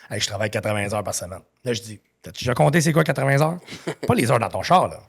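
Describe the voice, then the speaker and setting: Animated and somewhat breathy, a man talks at a very fast pace at medium pitch. His voice has very wide pitch swings and big swings in loudness. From Quebec. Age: 50s. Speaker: entrepreneur. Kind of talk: podcast interview.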